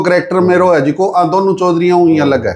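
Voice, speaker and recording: A man talks at a moderate pace, his voice pitched high. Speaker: comedian and film actor. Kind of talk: interview answer.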